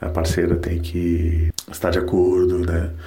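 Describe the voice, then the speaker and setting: Audible room echo surrounds a man speaking very slowly in a very deep, low voice with monotone, flat intonation. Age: 40s. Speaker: listener giving testimony. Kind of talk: recorded voice message testimony.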